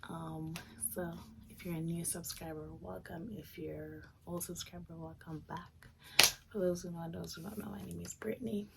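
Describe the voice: A woman with a raspy voice and vocal fry speaks at a moderate pace in a dark, mellow tone and a fairly low pitch. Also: fairly even intonation.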